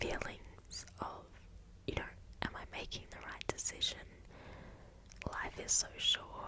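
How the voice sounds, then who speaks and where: Whispering very slowly, a woman is heard against noticeable background noise. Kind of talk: whispered ASMR ramble about life updates. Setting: recorded at home for ASMR channel. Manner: slow, hesitant, reflective with pauses.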